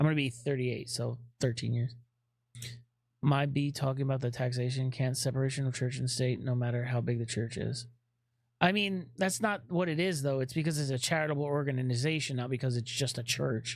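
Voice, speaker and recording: A man's voice, somewhat breathy and medium in pitch, moves along at a fairly quick pace with ordinary pitch variation. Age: 30s. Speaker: streamer answering chat questions on atheism. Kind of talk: casual live stream chat. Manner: halting.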